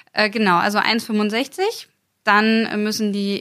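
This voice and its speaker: A woman with an unremarkable speaking voice and medium pitch talks at a moderate pace on a very clean recording with a silent background. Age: 20s. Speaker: mounted federal police officer. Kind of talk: interview.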